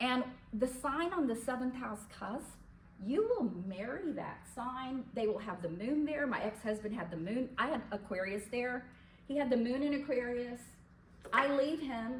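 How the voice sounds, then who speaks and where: With audible room echo, the voice moves at a fairly slow pace with ordinary pitch variation. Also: woman, high pitch for a woman. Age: 70s. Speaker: astrologer. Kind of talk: lecture.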